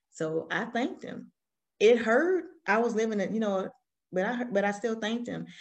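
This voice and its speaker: A woman with a Southern US accent, lively intonation and a moderate pace, over a quiet background. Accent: Southern US, country. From Alabama, US South. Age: 40s. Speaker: guest, business owner and army veteran. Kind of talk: personal storytelling interview. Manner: candid, conversational.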